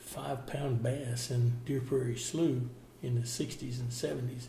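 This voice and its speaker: The speaker has a Southern US accent. The pace is fairly slow and the intonation is monotone and flat. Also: man. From Florida. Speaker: contractor and former cattle rancher. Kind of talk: oral history interview answer.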